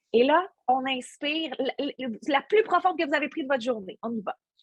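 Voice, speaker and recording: Lively intonation from a woman at a fairly slow pace, the sound dry and close with no echo. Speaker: workshop instructor, stage host. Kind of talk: workshop talk; guided breathing exercise. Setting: video call. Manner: hesitant, many fillers.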